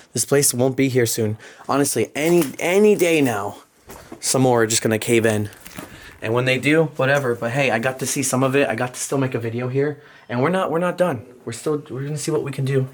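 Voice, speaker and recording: Speaking at a fairly quick pace in an American accent, a man with a medium pitch sounds animated over noticeable background noise. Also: ordinary pitch variation. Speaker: urban explorer vlogger. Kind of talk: casual vlog commentary. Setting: outdoors and inside abandoned mansion. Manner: animated, casual.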